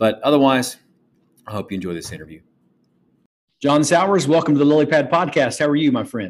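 A man talks at a very fast pace with fairly high pitch and lively intonation. His loudness swings widely, and he leaves long, frequent pauses. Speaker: podcast host and English teacher. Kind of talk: interview conversation.

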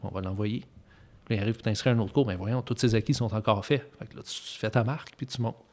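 Over a silent background in a very clean recording, a man with a Quebec accent speaks at a very fast pace and a medium pitch. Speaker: master car mechanic. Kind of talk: interview.

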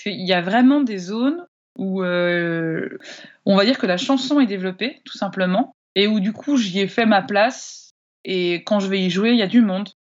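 A woman's normal speaking voice at a medium pitch, with ordinary pitch variation and a fairly slow pace. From France, Annecy. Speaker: singer-songwriter. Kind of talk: interview.

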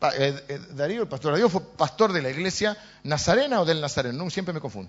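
Speaking at a fairly quick pace, a man with an Argentine accent uses lively intonation. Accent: Argentine Spanish (Rioplatense). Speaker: pastor. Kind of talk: sermon. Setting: church. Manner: halting, with frequent fillers.

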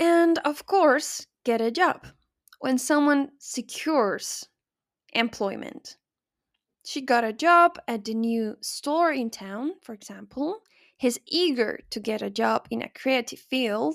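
Speaking very slowly in a Spanish accent, a woman with a high pitch comes through a very clean recording with a silent background and a dry, close sound with no echo. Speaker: English teacher podcaster. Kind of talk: language lesson.

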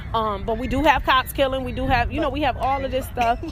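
Noticeable background noise sits behind a woman whose high-pitched voice carries fairly even intonation. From Rochester, New York. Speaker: podcast host, hair stylist and motivator. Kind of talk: casual chat.

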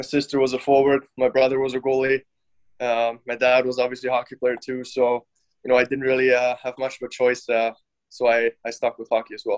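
Fairly quick, monotone, flat delivery from a man with a German accent, in a dry, close sound with no echo. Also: medium pitch for a man. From Germany. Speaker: professional ice hockey player. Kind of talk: interview. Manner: halting.

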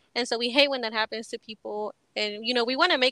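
A woman's high, bright and sharp voice in an American accent, with fairly even intonation and a dry, close sound free of echo. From Texas. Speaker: podcast host. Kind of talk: casual interview.

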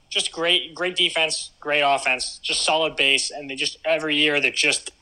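Noticeable noise sits behind a man who talks at a moderate speed. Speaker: podcast co-host guest. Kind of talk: casual chat.

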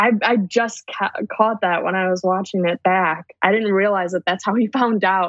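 A woman with a plain, everyday voice and medium pitch talks at a moderate pace with fairly even intonation. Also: hardly any pauses. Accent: American. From US Midwest, Cleveland Ohio. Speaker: guest and patron. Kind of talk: casual chat.

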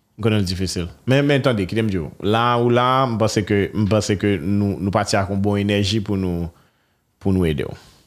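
A man talks at a moderate pace in a fairly low pitch, with a normal speaking voice and ordinary pitch variation. The recording is very clean, with a silent background. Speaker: talk show host. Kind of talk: interview. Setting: studio.

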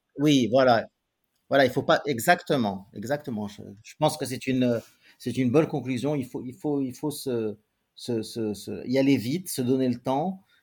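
A very clean recording against a silent background, fairly slow pace, big swings in loudness. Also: man, medium pitch for a man, ordinary pitch variation. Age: 50s. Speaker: painter. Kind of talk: interview. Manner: halting, frequent repetitions.

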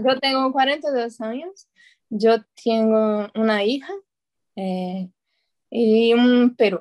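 Delivered very slowly, the talk has ordinary pitch variation and is broken by long, frequent pauses. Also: woman, fairly high pitch for a woman. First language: Portuguese (speaking Spanish). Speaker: Spanish learner. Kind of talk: casual chat.

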